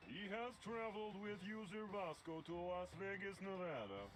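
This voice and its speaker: A man's put-on character voice, pitched high, over clear background noise. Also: moderate pace. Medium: video game. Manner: monotone, literal, deadpan.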